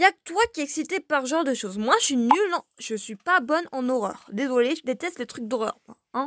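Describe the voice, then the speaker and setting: A woman speaks at a moderate pace with a high pitch. The recording is very clean, with a silent background and a dry, close sound with no echo. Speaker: gaming YouTuber. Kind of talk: let's play commentary reading game dialogue.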